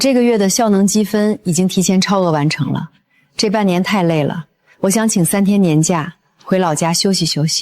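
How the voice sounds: The clip has a natural reading voice with ordinary pitch variation against a quiet background.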